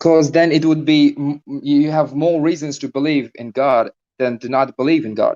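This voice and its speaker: Speaking with a non-native accent, a man keeps his pitch fairly high. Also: fairly even intonation, moderate pace. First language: not English. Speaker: caller arguing for God on a debate stream. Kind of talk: debate. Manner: hesitant, many fillers.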